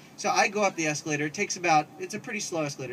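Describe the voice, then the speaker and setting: A man rattles along at a very fast pace while noticeable background noise continues behind him. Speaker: storyteller. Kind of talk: live storytelling performance.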